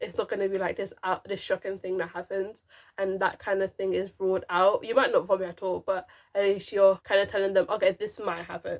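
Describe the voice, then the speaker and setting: A woman mumbles at a fairly quick pace. Her medium-pitched voice stays monotone and flat. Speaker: YouTuber and teacher. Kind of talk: casual tutorial to camera. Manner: stop-start, some mumbling.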